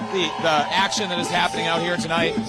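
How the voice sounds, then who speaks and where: A man is shouting loudly, with audible room echo and music in the background. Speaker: street interviewer / live streamer. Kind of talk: live street interview. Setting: outdoors at a protest. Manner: loud, shouting.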